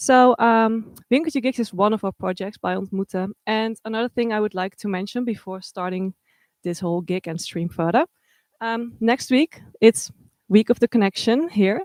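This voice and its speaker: A woman's fairly high voice with a Dutch accent, ordinary pitch variation and a moderate pace, dry and close with no echo, on a very clean recording against a silent background. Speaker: livestream host. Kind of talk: event hosting. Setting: art supply shop livestream.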